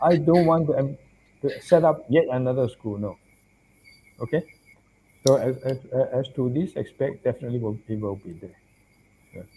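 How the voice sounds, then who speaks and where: A man speaks at a moderate pace and a medium pitch, his tone dark, mellow and somewhat breathy, with ordinary pitch variation. He leaves long, frequent pauses, and his loudness swings widely. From Malaysia. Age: 70s. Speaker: Buddhist monk and professor. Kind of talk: interview.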